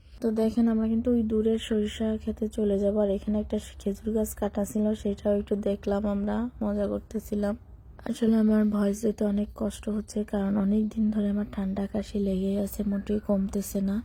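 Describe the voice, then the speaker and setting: A woman with a medium pitch speaks in a monotone, flat intonation, her tone dark and mellow, somewhat breathy, with very even loudness. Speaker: vlogger. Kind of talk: voice-over narration of travel vlog.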